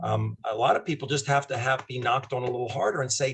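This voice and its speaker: A somewhat breathy man's voice, medium in pitch with ordinary variation, at a fairly quick pace. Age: 60s. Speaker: doctor promoting a wellness product. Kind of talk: casual interview chat.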